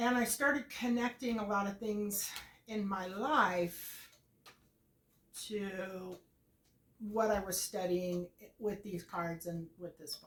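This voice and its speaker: The speech moves at a very slow pace, broken by long, frequent pauses. Loudness swings widely, and background noise is noticeable. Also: woman, medium pitch for a woman, ordinary pitch variation. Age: 50s. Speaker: tarot content creator. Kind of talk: casual vlog monologue. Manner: conversational with many fillers.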